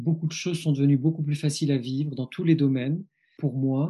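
Over a quiet background, a man speaks in a fairly high, somewhat breathy voice with a dark, mellow tone. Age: 50s. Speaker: psychologist and author. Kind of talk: interview. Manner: halting; reflective.

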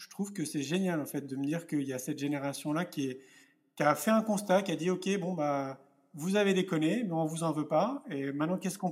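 In an ordinary speaking voice with fairly high pitch and ordinary pitch variation, a man talks at a fairly quick pace with big swings in loudness, on a very clean recording with a silent background. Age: 40s. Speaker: entrepreneur and speaker. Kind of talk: interview.

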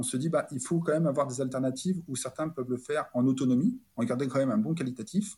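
This man talks at a very fast pace, his pitch medium with ordinary variation. His tone is dark and mellow, and somewhat breathy. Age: 30s. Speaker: corporate operational excellence director. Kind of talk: interview. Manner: halting.

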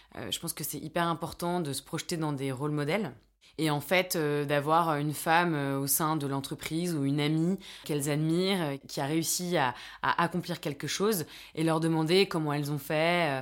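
Recorded very cleanly against a silent background, a woman speaks at a moderate pace. Her voice is very deep and low, with fairly even intonation. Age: 30s. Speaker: entrepreneur and mentor. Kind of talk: interview. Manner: hesitant, many fillers and repetitions.

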